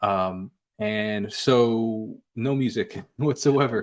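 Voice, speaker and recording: A man with a slight New York accent talks at a medium pitch with ordinary pitch variation. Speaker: musician. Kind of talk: interview conversation. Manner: halting, many fillers.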